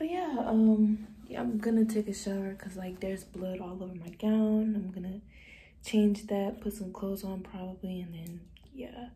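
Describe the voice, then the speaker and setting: A woman talks at a moderate pace with ordinary pitch variation. Her loudness swings widely. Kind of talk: casual vlog chat. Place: bathroom. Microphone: phone near.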